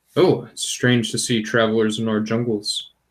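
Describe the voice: A man puts on a character voice at a medium pitch, speaking at a moderate pace. Hissing can be heard.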